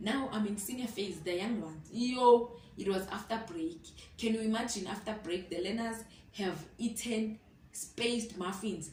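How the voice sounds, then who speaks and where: Animated and somewhat breathy, a woman speaks at a fairly high pitch with ordinary pitch variation and a moderate pace. Room echo is audible. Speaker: student teacher vlogger. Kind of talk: casual vlog storytelling. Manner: animated, code-switching.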